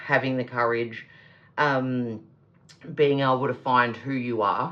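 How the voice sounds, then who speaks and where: In an Australian accent, a woman speaks with a very deep, low pitch. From Australia, Melbourne. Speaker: tarot reader. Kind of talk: tarot reading with read-aloud crystal descriptions. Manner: casual, hesitant with fillers.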